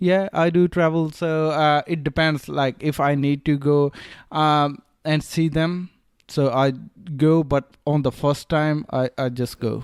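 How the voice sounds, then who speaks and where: At a fairly slow pace, a man with a non-native accent and a fairly high pitch speaks with fairly even intonation and very even loudness, recorded dry and close with no echo on a very clean, silent background. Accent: foreign. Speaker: online store owner. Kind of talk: interview. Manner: hesitant, many fillers.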